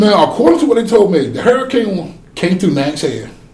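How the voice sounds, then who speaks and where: Against noticeable background noise, a man with an eastern North Carolina accent talks in an animated tone. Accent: Southern US (eastern North Carolina). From US South, North Carolina. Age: 40s. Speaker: oil rig worker. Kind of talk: casual chat. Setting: studio.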